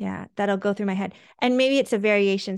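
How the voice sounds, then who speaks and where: A woman's medium-pitched voice at a fairly quick pace, dry and close with no echo. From USA, Korean American family. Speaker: physician and dermatology professor. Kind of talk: casual interview. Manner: hesitant, many fillers.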